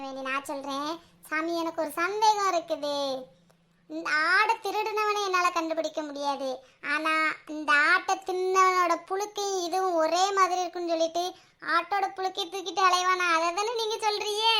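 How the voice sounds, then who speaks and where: In a cartoonish character voice, a female-sounding speaker goes at a fairly slow pace with an extremely high pitch. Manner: impulsive, stubborn.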